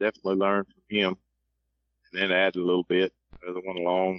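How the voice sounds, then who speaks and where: A man with a Southern US accent talks very fast in a fairly low voice. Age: 50s. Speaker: coon hunter. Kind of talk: casual chat.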